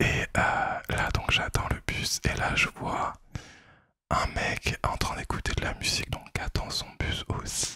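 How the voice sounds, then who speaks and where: A very slow whisper broken by long, frequent pauses. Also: man. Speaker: ASMR creator. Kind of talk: storytelling to camera. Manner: whispered.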